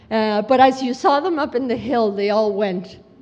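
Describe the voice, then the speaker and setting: Audible room echo surrounds the recording. A woman with a fairly high pitch speaks with lively intonation. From Mexico City. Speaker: education program director. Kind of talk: conference talk.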